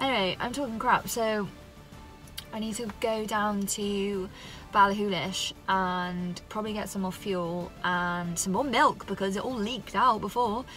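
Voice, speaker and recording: Faint music plays behind a woman speaking at a fairly slow pace. Her pitch varies in an ordinary way, and the sound is dry with no echo. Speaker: solo travel vlogger. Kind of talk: casual vlog chat. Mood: wry, self-mocking. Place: car. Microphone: phone near.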